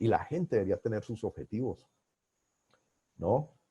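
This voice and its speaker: The voice has a dark, mellow, somewhat breathy tone, moving at a moderate pace with lively intonation in a dry, close sound with no echo. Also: man. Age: 60s. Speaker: business coach and consultant. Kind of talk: webinar lecture. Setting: online webinar.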